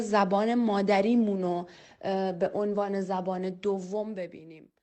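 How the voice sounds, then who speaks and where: Speaking fairly slowly with a Kurdish accent, a woman's dark, mellow voice carries audible room echo. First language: Kurdish (speaking Persian). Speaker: interviewee on mother tongue. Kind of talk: testimony. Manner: hesitant, many filler sounds.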